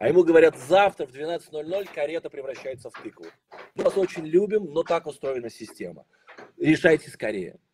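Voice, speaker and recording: Light background noise underlies this recording of a man. His loudness swings widely. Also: ordinary pitch variation, moderate pace. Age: 40s. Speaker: sales trainer. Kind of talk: webinar. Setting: online broadcast. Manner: animated. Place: home room. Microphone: video call.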